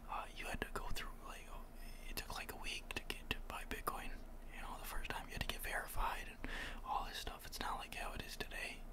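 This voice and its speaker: The speaker whispers at a fairly quick pace. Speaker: ASMR channel host. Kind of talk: ASMR crypto talk. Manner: whispered; casual, rambling.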